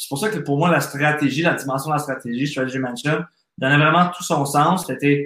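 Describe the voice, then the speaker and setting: This man has an unremarkable speaking voice with a fairly high pitch. He keeps a moderate pace and fairly even intonation. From Quebec. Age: 30s. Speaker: entrepreneur and business coach. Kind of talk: podcast interview.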